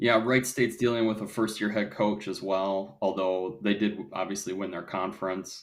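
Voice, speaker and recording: With a Wisconsin accent, a man talks at a moderate pace and ordinary pitch variation. The recording is very clean, its background silent. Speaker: volleyball podcast co-host. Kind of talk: casual discussion.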